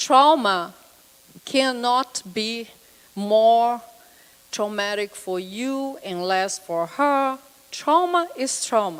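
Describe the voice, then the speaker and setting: Speaking in a Brazilian accent at a fairly high pitch, a woman uses lively intonation at a very slow pace with long, frequent pauses. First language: Portuguese. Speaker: psychotherapist. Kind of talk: lecture.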